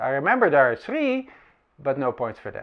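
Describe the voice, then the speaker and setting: A man talks with a Dutch accent. His pace is fairly quick. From Netherlands. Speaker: camera reviewer. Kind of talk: comedic monologue.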